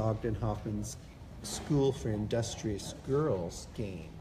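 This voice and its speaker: With vocal fry and a dark, mellow tone, a man speaks at a very slow pace with ordinary pitch variation over noticeable background noise. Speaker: doll collector and event organizer. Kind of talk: casual interview on live video. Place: hall. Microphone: phone near.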